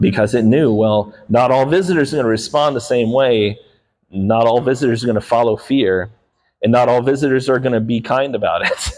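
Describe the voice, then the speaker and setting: A man speaks at a fairly quick pace with a medium pitch. His loudness stays very even, and his pitch varies in an ordinary way. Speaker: dog behaviorist. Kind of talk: public talk to an audience. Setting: live talk on lavalier mic with amplified speakers.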